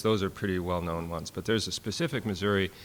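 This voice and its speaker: A man talks with a Minnesotan accent. His pitch is fairly low and varies in an ordinary way. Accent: Minnesota. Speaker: fiddler and professor. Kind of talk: workshop talk. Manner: halting, many fillers.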